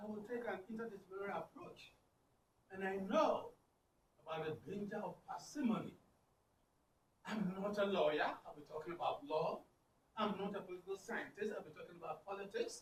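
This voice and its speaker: A speaker with an African accent talks at a fairly quick pace, broken by long, frequent pauses, with ordinary pitch variation and big swings in loudness. Audible room echo is present. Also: man, high pitch for a man. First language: Akan. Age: 60s. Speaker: linguistics professor. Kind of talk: conference keynote address. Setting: conference with audience.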